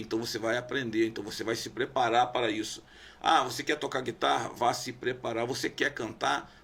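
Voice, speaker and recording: The man's intonation rises and falls in a lively way. He keeps a moderate pace. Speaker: pastor. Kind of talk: casual debate.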